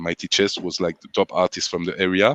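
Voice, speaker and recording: A man with a French accent speaks at a fairly quick pace in a very deep, low voice. The sound is dry and close, with no echo. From France. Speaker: sound system selector. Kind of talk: interview. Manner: halting.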